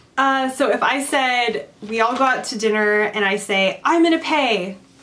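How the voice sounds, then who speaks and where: A woman's fairly high, bright, sharp voice in a Californian accent, with lively intonation. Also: long, frequent pauses. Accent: American (Californian). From California, USA. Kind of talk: casual talk to camera.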